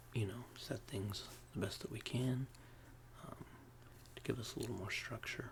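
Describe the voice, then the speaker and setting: The speaker is soft-spoken and keeps a moderate pace. Noticeable background noise sits behind the voice. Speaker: ASMR roleplay therapist. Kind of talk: ASMR therapist roleplay, soft spoken.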